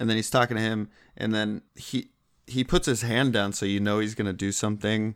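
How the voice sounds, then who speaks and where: A man with an unremarkable speaking voice, fairly low in pitch, at a moderate pace with fairly even intonation, on a very clean recording with a silent background. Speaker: co-host. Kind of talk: casual comedic banter.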